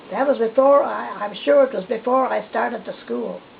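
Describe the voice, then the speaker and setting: A woman with an Atlantic Canadian accent makes very wide pitch swings against noticeable background noise. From New Brunswick, Canada. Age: 80s+. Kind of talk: interview answer. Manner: hesitant, reminiscing.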